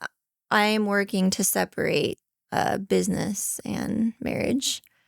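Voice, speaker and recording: A soft-spoken woman at a fairly slow pace, in a very clean recording with a silent background and a dry, close sound with no echo. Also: very even loudness. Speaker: podcast guest, host's wife. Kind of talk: casual chat.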